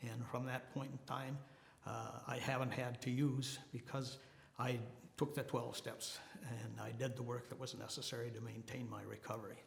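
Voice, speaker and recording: A man with an American accent, medium pitch, monotone, flat intonation and a moderate pace, amid audible room echo and noticeable background noise. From Minnesota. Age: 80s+. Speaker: person in long-term recovery, Marine veteran. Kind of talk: testimony. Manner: halting, many fillers.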